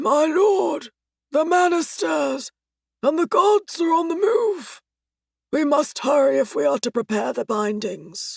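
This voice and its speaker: This is a put-on character voice, high-pitched and raspy. It moves at a fairly slow pace. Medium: read story. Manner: formal, archaic phrasing.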